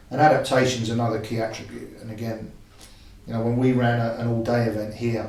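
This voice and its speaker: A man with a medium-pitched voice talks at a very fast pace in monotone, flat intonation, with audible room echo and noticeable background noise. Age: 60s. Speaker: football coach. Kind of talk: podcast interview.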